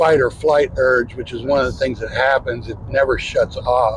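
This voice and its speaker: A man with an American accent at a moderate pace, amid noticeable background noise. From US Midwest, northeastern Ohio. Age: 60s. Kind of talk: interview testimony.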